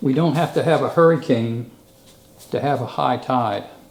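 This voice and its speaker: A man with a fairly high pitch speaks in an American accent, with audible echo in the room. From Eastern Shore of Virginia, US. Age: 70s. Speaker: local historian. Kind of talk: presentation.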